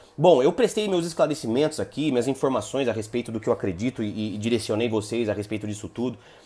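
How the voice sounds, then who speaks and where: This man has a dark, mellow tone and a medium pitch, speaking at a very fast pace with ordinary pitch variation and hardly any pauses. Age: 30s. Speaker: lawyer and multi-level marketing presenter. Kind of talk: live stream talk to online audience. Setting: live online broadcast. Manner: halting, many repetitions and fillers; casual, animated.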